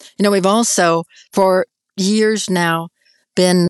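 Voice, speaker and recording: Against a quiet background, a woman speaks in a plain, everyday voice at a medium pitch with fairly even intonation, the sound dry and close with no echo. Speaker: nonprofit founder and military veteran. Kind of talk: interview.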